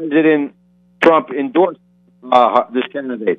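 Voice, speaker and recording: A man at a moderate pace, fairly high in pitch, with ordinary pitch variation. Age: 60s. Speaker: political activist and candidate. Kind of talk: phone interview. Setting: phone call. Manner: impassioned.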